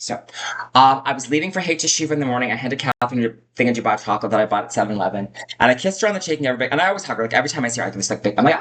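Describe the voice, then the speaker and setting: A woman with a very deep, low pitch speaks very fast with lively intonation. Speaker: vlogger. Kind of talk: personal storytelling monologue. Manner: loud.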